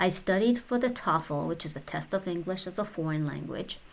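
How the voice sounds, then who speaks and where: A woman speaks with a Persian accent in a fairly low voice with vocal fry. Her pace is moderate. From Iran. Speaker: podcaster. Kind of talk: personal storytelling monologue.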